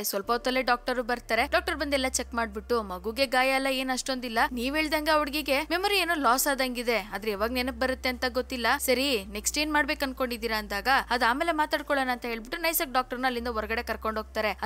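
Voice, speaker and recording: Over noticeable background noise, a woman projects her high-pitched voice loudly, with ordinary variation in pitch. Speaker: movie explainer. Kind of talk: movie recap narration. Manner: casual, conversational.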